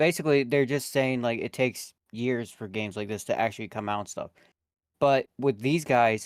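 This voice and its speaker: This man's voice sits at a medium pitch, varies in pitch in an ordinary way, and moves at a moderate pace. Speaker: video game fan. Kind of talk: casual chat. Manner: halting.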